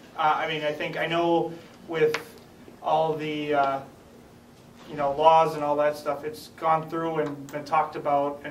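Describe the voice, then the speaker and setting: A man with an American accent speaks at a fairly high pitch in a monotone, flat intonation. Audible room echo and noticeable background noise surround him. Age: 20s. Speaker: brain injury survivor and advocate. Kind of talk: testimony. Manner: halting.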